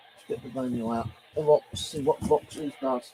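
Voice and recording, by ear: A man at medium pitch speaks at a moderate pace with big pitch swings. His dark, mellow tone carries a slightly husky edge and vocal fry.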